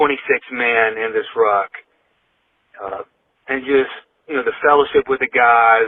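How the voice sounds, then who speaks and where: Here a man speaks at a medium pitch and moderate pace. His intonation is fairly even. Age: 60s. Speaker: fitness group member leaving voice message. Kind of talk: recorded voice message testimony.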